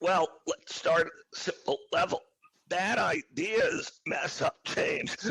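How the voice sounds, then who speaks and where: In a dry, close sound with no echo, a man speaks at a very slow pace. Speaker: company CEO and author. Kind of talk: interview answer.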